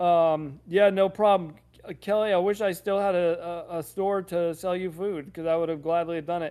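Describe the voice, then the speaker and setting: His voice is high for a man, with a dark, mellow tone, a monotone, flat delivery and a moderate pace. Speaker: pet food expert hosting live Q&A. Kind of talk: live stream Q&A.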